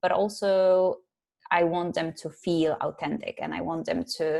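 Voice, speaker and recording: A woman talks at a fairly slow pace with a Polish accent. Her voice is fairly low, with fairly even intonation. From Poland. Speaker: psychologist and life coach. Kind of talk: interview.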